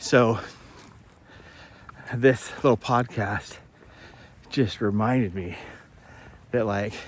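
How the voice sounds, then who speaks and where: A man speaking with ordinary pitch variation. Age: 50s. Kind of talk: casual talk to camera.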